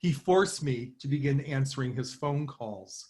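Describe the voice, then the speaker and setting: A somewhat breathy man talks at a moderate speed. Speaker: professor. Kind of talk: conference talk. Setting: online conference from home. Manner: formal.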